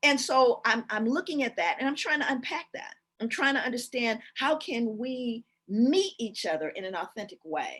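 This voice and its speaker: A woman speaks at a moderate pace in a high pitch. Her voice moves through very wide pitch swings. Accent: American. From US West Coast (Los Angeles). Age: 60s. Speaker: keynote speaker, social scientist. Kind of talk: keynote lecture. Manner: intense.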